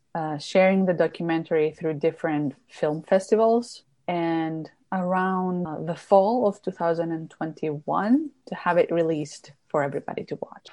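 A woman with a Greek accent speaks at a fairly slow pace with a dark, mellow tone. She leaves hardly any pauses. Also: ordinary pitch variation, quiet background. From Greece, Crete. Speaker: documentary filmmaker and wine content creator. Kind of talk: interview.

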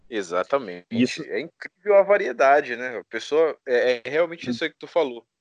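With a plain, everyday voice, this man talks at a moderate pace and medium pitch, his intonation lively and the sound dry and close with no echo. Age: 20s. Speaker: podcast host. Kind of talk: casual interview chat.

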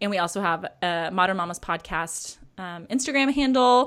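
A plain, everyday voice with ordinary pitch variation at a moderate pace, on a very clean recording with a silent background. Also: woman. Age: 30s. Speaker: Enneagram coach and podcaster. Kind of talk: casual chat.

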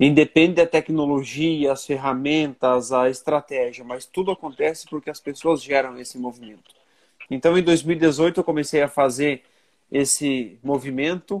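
With a normal speaking voice, a man talks at a moderate pace and fairly high pitch, his intonation fairly even and the sound dry and close with no echo. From Santa Catarina, Brazil (western region). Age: 30s. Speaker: business association president and entrepreneur. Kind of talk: interview conversation.

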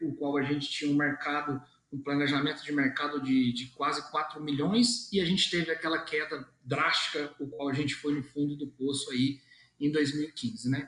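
A man talks with a fairly high pitch. Noticeable background noise sits behind him. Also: ordinary pitch variation, moderate pace. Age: 30s. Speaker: car dealership executive. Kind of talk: interview. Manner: halting, many fillers.

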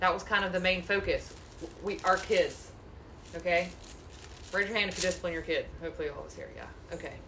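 Amid noticeable background noise and audible room echo, a woman talks at a fairly quick pace with long, frequent pauses and big swings in loudness. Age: 30s. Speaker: Bible study leader. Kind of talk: group Bible study discussion.

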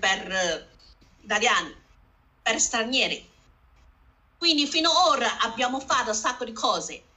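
A woman with a Chinese accent talks at a fairly slow pace in a high voice. She leaves long pauses, and often. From northern China, Harbin. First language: Chinese (speaking Italian). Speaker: community association founder. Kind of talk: panel discussion. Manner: halting, broken Italian.

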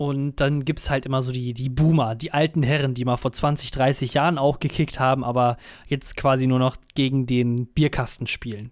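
A man talks at a moderate pace and medium pitch in a monotone, flat intonation. The recording is very clean, with a silent background. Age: 20s. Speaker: podcast co-host. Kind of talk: casual chat.

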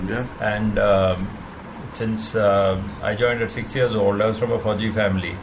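Over noticeable background noise and audible room echo, a man speaks in a fairly low pitch with monotone, flat intonation. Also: moderate pace. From India (Himachal Pradesh). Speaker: rally race director. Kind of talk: interview.

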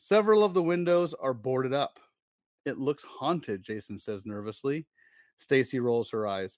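With very wide pitch swings, a man speaks on a very clean recording with a silent background. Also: medium pitch for a man, moderate pace. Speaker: podcast host. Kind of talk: casual chat; dramatic narration. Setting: live stream. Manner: animated, playful; dramatic, expressive storyteller reading aloud.

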